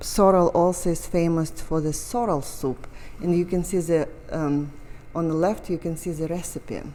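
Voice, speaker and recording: A woman with a dark, mellow tone and fairly low pitch, at a fairly slow pace with long, frequent pauses. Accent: Russian. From Russia. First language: Russian. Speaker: painter. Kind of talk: casual chat. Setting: art gallery.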